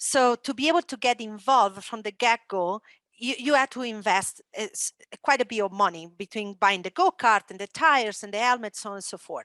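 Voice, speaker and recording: A woman with an Italian accent talks at a fairly quick pace in a fairly high pitch, her tone bright and sharp and her pitch varying in an ordinary way, on a very clean recording with a silent background and a dry, close sound with no echo. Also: big swings in loudness. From Italy. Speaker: esports entrepreneur and former motocross champion. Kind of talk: panel discussion.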